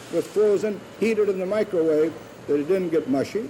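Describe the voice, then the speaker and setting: Over noticeable background noise, a man with an American accent speaks at a moderate pace in a high voice with lively intonation. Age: 70s. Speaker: food company founder. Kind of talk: news interview.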